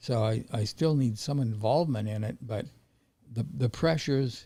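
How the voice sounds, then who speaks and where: A man's dark, mellow, somewhat breathy voice with ordinary pitch variation. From Montana, US. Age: 80s+. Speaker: veteran trader. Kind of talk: interview. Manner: halting.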